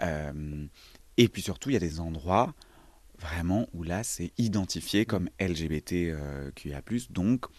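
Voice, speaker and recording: A man speaks at a very slow pace in a very deep, low pitch. His pitch moves in an ordinary way, and the background is quiet. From rural Loire, near Montbrison (Saint-Étienne area), France. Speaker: actor. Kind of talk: casual interview.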